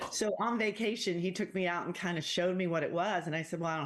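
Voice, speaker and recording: A woman with an American accent, fairly low pitch, a fairly quick pace, a plain, everyday voice, and a quiet background. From England, raised in the US. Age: 60s. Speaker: professional pickleball player. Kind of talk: casual chat.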